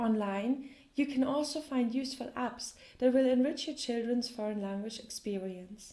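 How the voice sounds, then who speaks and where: A woman's high voice with a German accent, dark and mellow in tone, at a moderate pace. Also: ordinary pitch variation. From Germany. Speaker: language teacher. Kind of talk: tutorial.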